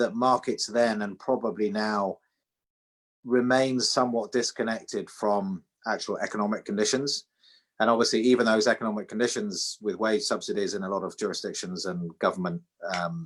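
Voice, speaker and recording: The speaker has a British accent. The pace is moderate, with ordinary pitch variation. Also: man, medium pitch for a man. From UK. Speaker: financial regulator chief executive. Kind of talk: interview on an online seminar. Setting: video call.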